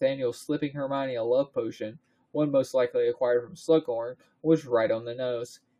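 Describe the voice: The background is quiet. Over it comes plain reading aloud.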